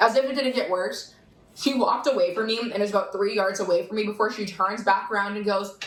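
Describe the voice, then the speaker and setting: A woman with a slight Boston accent talks at a very fast pace and a medium pitch, with ordinary pitch variation. Noticeable background noise runs underneath. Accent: faint Boston. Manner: mostly neutral, little accent.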